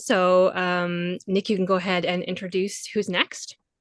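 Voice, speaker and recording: A woman's bright, sharp tone with a Labrador accent. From Cartwright, Labrador, Canada. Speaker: first responder. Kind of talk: panel introduction, partly scripted. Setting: video call.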